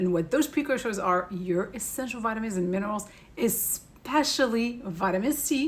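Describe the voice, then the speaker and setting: Somewhat breathy and fairly high in pitch, the woman's voice carries lively intonation. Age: 40s. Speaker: beauty and wellness educator. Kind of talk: tutorial. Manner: fast.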